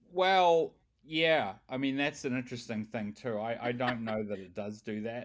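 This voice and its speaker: A man with a New Zealand accent speaks at a moderate pace and medium pitch. His intonation is lively, and the recording is very clean with a silent background. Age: 50s. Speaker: tech company founder. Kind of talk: interview. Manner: halting.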